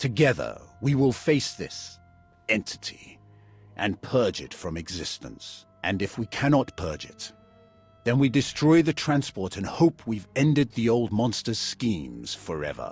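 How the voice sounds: Over faint music in the background, a man uses a put-on character voice at a fairly low pitch and fairly slow pace, with big pitch swings and a slightly husky edge.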